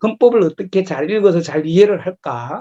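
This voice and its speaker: A high-pitched man talks at a moderate pace with a Gyeongsang accent. His tone is dark and mellow, and the sound is dry and close with no echo. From South Korea, Gyeongnam. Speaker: lecturer, local politician. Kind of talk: lecture. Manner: hesitant, many filler sounds.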